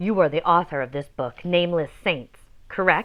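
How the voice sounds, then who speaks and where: Putting on a gravelly character voice, a woman speaks at a moderate pace with fairly low pitch and ordinary pitch variation. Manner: stern, interrogating.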